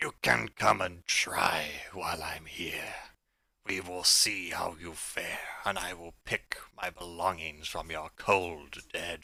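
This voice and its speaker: A man in a booming, raspy put-on character voice speaks loudly at a fairly slow pace, his pitch very deep and low. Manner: menacing, scornful.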